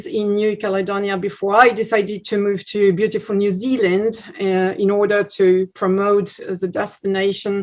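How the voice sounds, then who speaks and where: With a French accent, a woman speaks in a flat, monotone delivery. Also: hardly any pauses. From France, Bordeaux. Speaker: tourism promoter. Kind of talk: webinar presentation. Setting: video call webinar. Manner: halting, many fillers.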